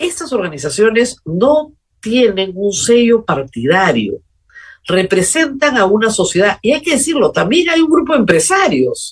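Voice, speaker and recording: A woman talks with vocal fry and very wide pitch swings while her loudness stays very even. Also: fairly high pitch for a woman, fairly slow pace. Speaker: political talk show host. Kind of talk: political commentary monologue.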